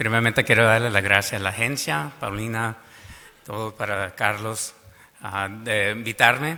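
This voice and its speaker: Here a man talks with a fairly low pitch and a moderate pace. He keeps his intonation fairly even. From Arizona, US. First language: English (speaking Spanish). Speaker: school district superintendent. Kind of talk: conference presentation. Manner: halting.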